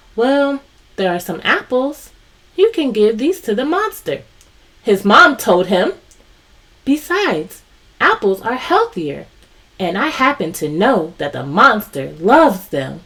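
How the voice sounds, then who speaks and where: A female-sounding put-on character voice speaks at a fairly slow pace and fairly high pitch, with very wide pitch swings and long, frequent pauses. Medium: read story. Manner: warm, patient.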